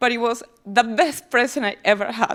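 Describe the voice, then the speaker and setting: In a very clean recording with a silent background, a woman with a Peruvian accent speaks at a fairly high pitch with ordinary pitch variation. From Peru, small town south of Lima. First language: Spanish. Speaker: tech company employee giving a talk. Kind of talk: speech to audience. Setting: stage with audience.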